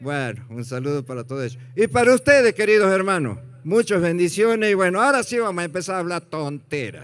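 Against a quiet background, a man talks at a fairly quick pace with hardly any pauses, his high voice animated in tone and swinging very widely in pitch. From Argentina, Santiago del Estero; Argentina. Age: 60s. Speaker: comedian. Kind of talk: stand-up. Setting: stage with audience. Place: stage. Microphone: handheld.

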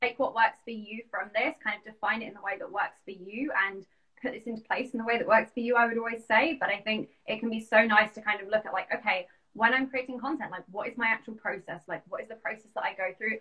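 A woman with a London accent at a fairly high pitch, very fast pace, fairly even intonation and big swings in loudness, over a quiet background. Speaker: business coach. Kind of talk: casual interview. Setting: video call. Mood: friendly, enthusiastic. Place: home room. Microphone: video call.

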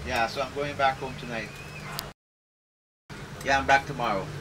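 Noticeable background noise behind a male speaker. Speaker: tour guide. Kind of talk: casual chat and tour announcements. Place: bus. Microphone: camera far.

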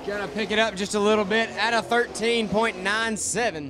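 A man speaks in a raised, projected voice with music in the background. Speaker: race announcer. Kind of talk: commentary. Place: stadium.

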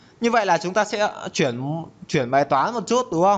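This man's high-pitched voice moves at a moderate pace with lively intonation. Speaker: programming tutor. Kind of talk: tutorial. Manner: casual.

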